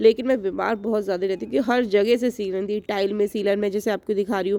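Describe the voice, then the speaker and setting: A woman with a dark, mellow tone talks at a moderate pace, her medium pitch carried on fairly even intonation. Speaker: lifestyle vlogger. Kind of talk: casual vlog talk.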